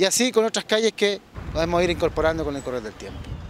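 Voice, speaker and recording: A high-pitched man talks at a very fast pace, the sound dry with no echo and light background noise. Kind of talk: interview answer. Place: street. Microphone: handheld.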